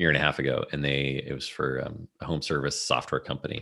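Vocal fry runs through a man's very deep, low voice, which has a bright, sharp tone and a moderate pace. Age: 40s. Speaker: business consultant and author. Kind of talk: casual interview.

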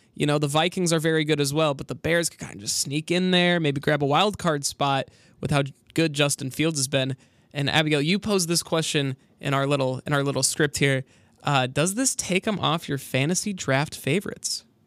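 On a very clean recording with a silent background and a dry, close sound with no echo, a man talks at a fairly quick pace. He has an unremarkable speaking voice, fairly high in pitch, with ordinary pitch variation. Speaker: college radio sports host. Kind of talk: casual chat.

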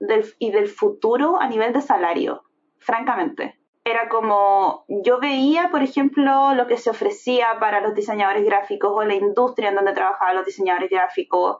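A woman speaks in a Chilean accent at a moderate pace. Her pitch is fairly high and her intonation lively. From Chile, Viña del Mar. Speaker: product designer. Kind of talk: casual interview.

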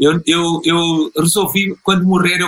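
A man with a European Portuguese accent speaks in a high-pitched voice. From Portugal. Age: 60s. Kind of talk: interview.

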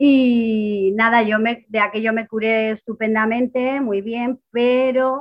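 At a very slow pace, a woman talks in a fairly high voice. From Spain, Ciudad Real. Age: 30s. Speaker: kidney patient on dialysis. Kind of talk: interview.

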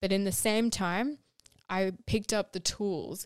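In a very clean recording with a silent background, a woman with a plain, everyday voice talks at a fairly slow pace with fairly even intonation. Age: 20s. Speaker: podcast host, sustainable fashion advocate. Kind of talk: personal storytelling monologue.

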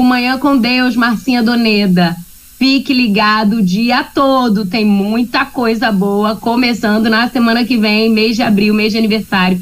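A woman with a fairly high, somewhat breathy voice speaks at a fairly slow pace with very even loudness. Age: 40s. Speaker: radio segment presenter. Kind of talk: casual talk-radio chat. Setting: remote from home. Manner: animated.

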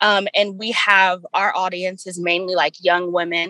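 Here is a woman with a plain, everyday voice at medium pitch. Her intonation is fairly even, and the sound is dry and close with no echo. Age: 20s. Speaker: student podcast co-host. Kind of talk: casual chat.

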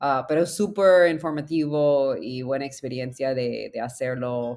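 An English accent at a fairly slow pace, on a very clean recording with a silent background. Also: woman. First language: English (speaking Spanish). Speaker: startup founder. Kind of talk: interview.

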